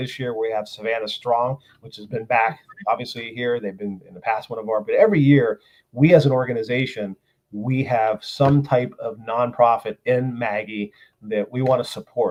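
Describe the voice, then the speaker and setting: This is an ordinary speaking voice from a man, medium in pitch and fairly quick. His loudness swings widely while the intonation stays fairly even. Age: 60s. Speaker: motorcycle rally organizer. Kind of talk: casual interview.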